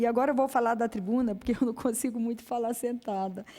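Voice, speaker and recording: This woman has a fairly high pitch and a dark, mellow tone. She speaks at a fairly quick pace. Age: 60s. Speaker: high court judge. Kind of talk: conference speech. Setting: auditorium with audience. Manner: halting, many fillers.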